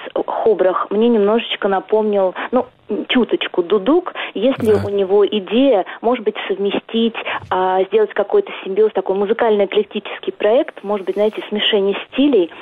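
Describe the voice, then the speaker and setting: At a moderate pace, a woman with an ordinary speaking voice keeps her loudness very even, her medium pitch moving with ordinary variation. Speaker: caller. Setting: phone call.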